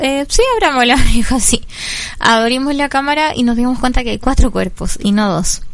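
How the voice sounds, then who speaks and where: With audible room echo and noticeable background noise, the speaker keeps a moderate pace and ordinary pitch variation. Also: woman. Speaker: foundation director, health worker. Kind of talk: radio interview.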